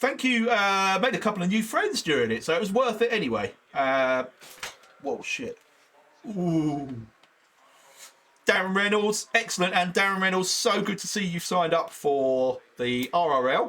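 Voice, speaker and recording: A man's raised, projected voice with a British accent, a high pitch, very wide pitch swings and long, frequent pauses. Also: moderate pace. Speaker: sim racing streamer. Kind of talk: live stream commentary. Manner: casual, rambling chatter.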